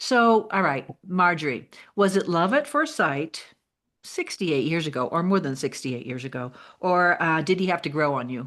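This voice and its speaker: A woman speaks at a moderate pace in a normal speaking voice, her fairly low pitch carried by lively intonation. The background is quiet. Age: 60s. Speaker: podcast host. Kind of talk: casual interview.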